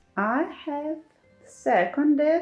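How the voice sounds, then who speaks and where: Very wide pitch swings mark this voice with a non-native accent. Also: woman. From Ukraine (Kyiv). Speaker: craft YouTuber. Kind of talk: room tour video. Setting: home craft room.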